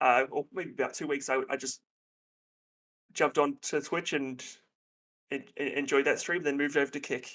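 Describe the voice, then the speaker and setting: A flat, monotone voice moves at a moderate pace with long, frequent pauses in a very clean recording with a silent background. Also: man, fairly high pitch for a man. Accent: Australian. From Australia. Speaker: counselor and therapist. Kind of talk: casual chat. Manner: halting.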